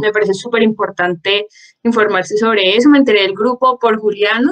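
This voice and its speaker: This woman talks at a fairly quick pace in a normal speaking voice, fairly high-pitched with ordinary pitch variation. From Colombia, Popayán. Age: 20s. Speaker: law student, book club member. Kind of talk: self-introduction in online group.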